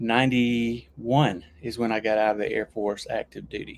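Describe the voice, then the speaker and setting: Speaking with a Southern US accent, a man keeps a monotone, flat intonation at medium pitch and a fairly slow pace. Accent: Southern US accent, returned after losing it. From US South, Alabama. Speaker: YouTuber and Air Force veteran. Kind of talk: casual livestream chat. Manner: hesitant, with frequent restarts and fillers.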